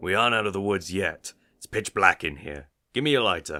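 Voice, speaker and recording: A raspy, put-on character voice moves at a fairly quick pace. The recording is very clean, with a silent background. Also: man, fairly low pitch for a man. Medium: audio drama. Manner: terse, dry.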